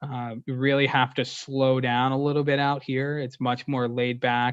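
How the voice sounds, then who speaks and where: With an American accent, a man talks at medium pitch in a monotone, flat intonation. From Pennsylvania, near Pittsburgh. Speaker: sports group sales executive. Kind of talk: interview. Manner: fast.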